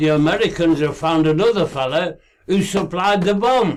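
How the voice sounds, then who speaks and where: Ordinary pitch variation marks this man's high voice. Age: 80s+. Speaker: amateur investigator. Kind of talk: monologue to camera. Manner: halting.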